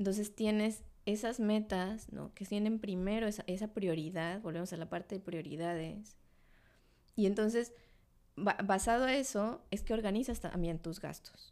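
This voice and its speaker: A woman's medium-pitched voice with ordinary pitch variation at a moderate pace. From Mexico City. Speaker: personal finance teacher. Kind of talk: casual interview chat.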